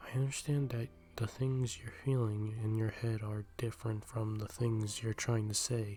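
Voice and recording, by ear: Intonation stays fairly even while reading aloud in a natural voice.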